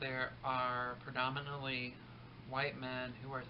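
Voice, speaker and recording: A man speaks at a medium pitch. There is noticeable background noise and audible room echo. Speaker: vlogger, teacher. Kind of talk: casual vlog monologue. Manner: fast; hesitant, many ums.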